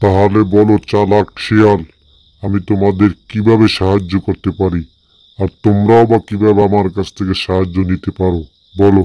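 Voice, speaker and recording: A man speaks in a put-on character voice with a fairly low pitch against a quiet background. His intonation is monotone and flat, at a moderate pace. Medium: read story. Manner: domineering, condescending.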